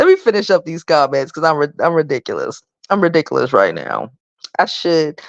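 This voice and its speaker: A raspy, put-on character voice sits at a middle pitch. It moves at a fairly quick pace. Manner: rambling, self-mocking.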